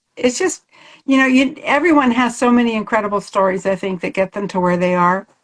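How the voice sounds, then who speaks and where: Against a quiet background, a woman with a fairly high voice talks at a fairly quick pace with lively intonation. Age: 60s. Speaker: poet. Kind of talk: casual chat.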